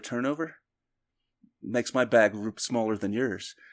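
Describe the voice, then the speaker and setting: A man's normal speaking voice at medium pitch with fairly even intonation, dry and close with no echo, over a quiet background. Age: 50s. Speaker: disc golf player and golf coach. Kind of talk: casual chat.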